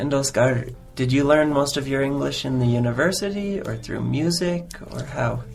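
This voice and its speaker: A man with an American accent and a fairly high pitch, at a moderate pace with ordinary pitch variation, over music in the background and audible room echo. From United States. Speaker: English teacher. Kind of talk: podcast interview.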